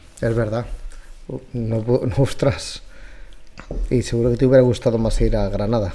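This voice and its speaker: A man's medium-pitched voice with long, frequent pauses and noticeable background noise. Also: fairly even intonation, moderate pace. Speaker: podcast host, cooking content creator. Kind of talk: casual chat.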